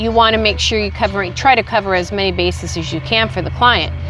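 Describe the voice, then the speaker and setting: A woman talking at a moderate pace with music in the background. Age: 60s. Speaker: insurance agent. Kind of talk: interview.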